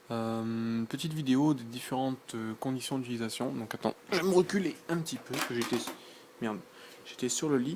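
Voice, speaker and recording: A man with a medium pitch and ordinary pitch variation talks at a fairly quick pace while noticeable background noise runs underneath. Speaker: tech youtuber. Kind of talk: unboxing and product demo. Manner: soft-spoken; hesitant, many fillers.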